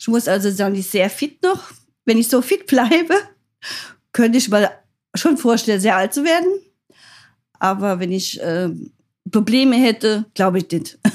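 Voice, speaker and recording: A woman speaks at a moderate pace with a fairly high pitch and lively intonation, leaving long, frequent pauses. The recording is very clean, with a silent background. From rural Germany. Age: 60s. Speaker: grandmother. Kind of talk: casual chat.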